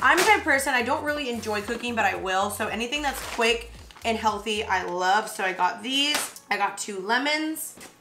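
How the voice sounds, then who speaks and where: Over noticeable background noise, a woman talks at a moderate pace with hardly any pauses. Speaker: lifestyle vlogger. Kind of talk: casual vlog chat. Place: kitchen.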